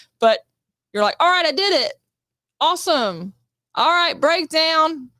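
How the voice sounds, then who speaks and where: Raised and projected, a woman's extremely high voice has a bright, sharp tone, lively intonation and very even loudness at a fairly slow pace, with a dry, close sound and no echo. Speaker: actress. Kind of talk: casual chat.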